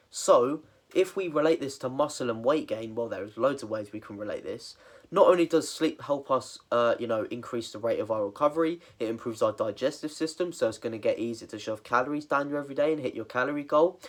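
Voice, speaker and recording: Very fast speech with a British accent. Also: man, fairly high pitch for a man, ordinary pitch variation. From England. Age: 20s. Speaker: fitness coach. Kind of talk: tutorial. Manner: casual, filler-heavy.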